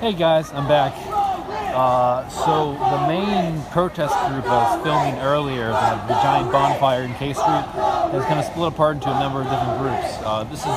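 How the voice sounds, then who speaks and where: With crowd noise behind him, a man talks at a moderate pace with ordinary pitch variation, the sound dry and free of echo. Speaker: citizen live streamer. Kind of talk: live commentary. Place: street. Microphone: phone near.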